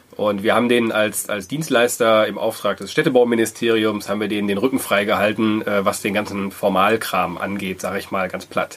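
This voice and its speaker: Over noticeable background noise, a man speaks in a fairly low voice with fairly even intonation. His pace is fairly quick, with hardly any pauses. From Germany, Wuppertal. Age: 30s. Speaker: co-founder of a social impact hub. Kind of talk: interview.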